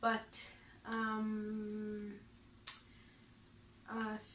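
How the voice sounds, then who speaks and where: A woman speaks at a fairly high pitch, and audible room echo surrounds her voice. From Lesotho. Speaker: vlogger, English teacher. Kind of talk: casual vlog self-introduction.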